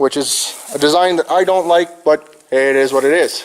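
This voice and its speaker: A man with an American accent talks with fairly even intonation against noticeable background noise. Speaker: farmer. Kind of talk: tutorial. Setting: farm shed.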